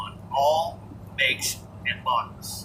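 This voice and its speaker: In an American accent, a man speaks at a very slow pace over noticeable background noise. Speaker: truck driver and gaming channel host. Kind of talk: casual monologue. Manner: over-enunciates words.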